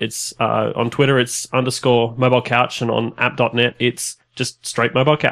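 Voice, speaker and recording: The man has an Australian accent. His recording is very clean, and the background is silent. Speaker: podcast host. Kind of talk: casual interview.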